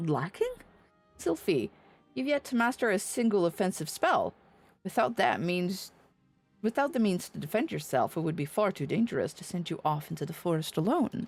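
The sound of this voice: Putting on a character voice, a woman speaks fairly low with vocal fry and big pitch swings at a moderate pace, faint music playing in the background.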